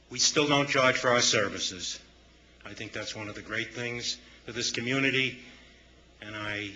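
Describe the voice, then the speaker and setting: A man with an American accent talks at a medium pitch with fairly even intonation. Noticeable background noise and audible room echo come through. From northern US. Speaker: nonprofit board chairman. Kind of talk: public comment at city council. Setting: city council meeting.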